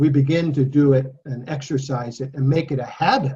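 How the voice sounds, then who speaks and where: Somewhat breathy, a man talks at a fairly slow pace with a fairly high pitch. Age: 60s. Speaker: Bible study teacher. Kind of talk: Bible study talk.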